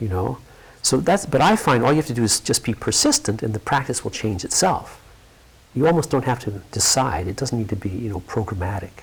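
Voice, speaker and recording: Somewhat breathy, a man with a medium pitch talks at a fairly quick pace with lively intonation. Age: 60s. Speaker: yoga teacher. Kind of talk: interview conversation. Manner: halting.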